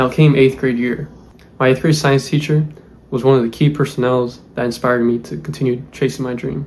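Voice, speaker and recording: At a fairly quick pace, a man talks in a medium pitch with ordinary pitch variation. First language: Spanish. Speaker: aerospace engineer, YouTuber. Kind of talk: personal vlog, life story. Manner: casual, filler-heavy.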